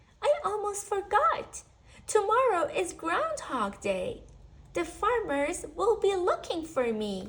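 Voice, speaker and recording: A woman uses a put-on character voice at an extremely high pitch. She talks at a fairly slow pace with very wide pitch swings. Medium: read story. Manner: soft, whispering at times.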